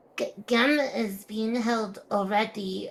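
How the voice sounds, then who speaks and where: A female-sounding voice in a put-on character voice, fairly high in pitch, goes at a very slow pace. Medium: actual play. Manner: halting, stammering.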